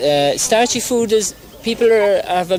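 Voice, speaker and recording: A man with an Irish accent at a moderate pace, ordinary pitch variation, and noticeable background noise. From Ireland. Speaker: doctor. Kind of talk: interview. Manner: halting.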